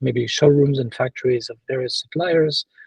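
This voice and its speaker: A man speaks at a medium pitch in a French accent, somewhat breathy. His intonation stays fairly even. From France. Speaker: sourcing and quality assurance consultant. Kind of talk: interview. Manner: halting, many fillers and repetitions.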